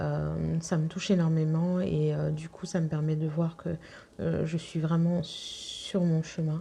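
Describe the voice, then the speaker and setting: A woman speaks at a fairly slow pace with noticeable background noise behind her. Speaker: intuitive guide and sophrologist. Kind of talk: spiritual guidance talk to viewers. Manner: soft-spoken; hesitant, many fillers.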